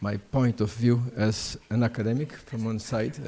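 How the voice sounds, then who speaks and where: A man with a non-native accent speaks at a fairly slow pace. His dark, mellow tone holds a medium pitch in a monotone, flat intonation. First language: Portuguese. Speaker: prosecutor and law professor. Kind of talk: conference talk. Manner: halting, many fillers.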